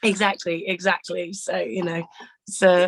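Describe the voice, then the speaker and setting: At a fairly slow pace, a woman with a medium-pitched voice speaks, the sound dry and close with no echo. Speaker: singer. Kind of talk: interview. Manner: hesitant with fillers.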